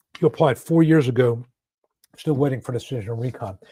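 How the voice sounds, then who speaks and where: Somewhat breathy and dark, mellow in tone, this voice with an American accent goes at a fairly quick pace with ordinary pitch variation. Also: man. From US South, Atlanta. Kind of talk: livestream Q&A. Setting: online livestream. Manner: casual, filler-heavy.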